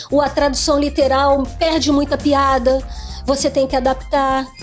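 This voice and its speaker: Music plays in the background as a woman speaks at high pitch and a fairly slow pace. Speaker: voice actor (dubbing). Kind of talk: interview answer about dubbing industry. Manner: critical, emphatic.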